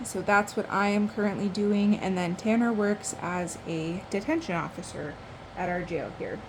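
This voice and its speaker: A woman with fairly even intonation speaks at a moderate pace, noticeable background noise behind her. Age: 20s. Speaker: budgeting YouTuber. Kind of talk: casual vlog tutorial.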